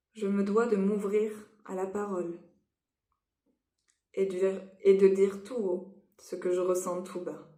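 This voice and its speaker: Amid audible room echo, a woman speaks at a very slow pace and medium pitch in a monotone, flat intonation, with long, frequent pauses. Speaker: EFT practitioner. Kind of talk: guided tapping session.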